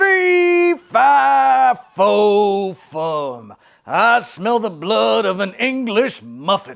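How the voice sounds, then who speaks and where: A put-on character voice at a very slow pace. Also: man, high pitch for a man. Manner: playful, exaggerated.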